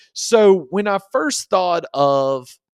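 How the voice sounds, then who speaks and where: A man speaks with a Southern US accent and lively intonation. The recording is very clean with a silent background and a dry, close sound with no echo. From South Central Kentucky. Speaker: podcast co-host. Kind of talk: casual chat. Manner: slow.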